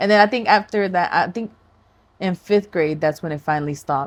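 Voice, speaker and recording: With a slight Spanish accent, a woman talks at a very fast pace with lively intonation. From US, raised in Florida (born Texas). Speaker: podcast co-host. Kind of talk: casual chat.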